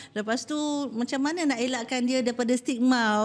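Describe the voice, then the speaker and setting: Her pitch high and her intonation fairly even, a woman talks at a fairly quick pace. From Malaysia, Perak (Teluk Intan); Perak, Malaysia. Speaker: head nurse; podcast guest. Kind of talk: talk show interview. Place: studio. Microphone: studio mic.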